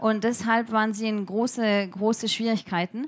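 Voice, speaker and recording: The speaker is a woman. She talks at a fairly slow pace. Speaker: edtech researcher and startup founder. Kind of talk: interview before a live audience. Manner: halting, many fillers.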